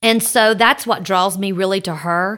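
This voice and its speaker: A woman with a Southern US accent, on a very clean recording with a silent background. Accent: US South. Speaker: podcast host. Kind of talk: casual chat. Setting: studio. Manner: loud.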